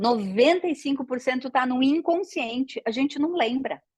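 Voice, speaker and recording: The speaker has an animated tone and lively intonation, moving at a fairly slow pace. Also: woman. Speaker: systemic therapy teacher. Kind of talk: online lecture. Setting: live online class.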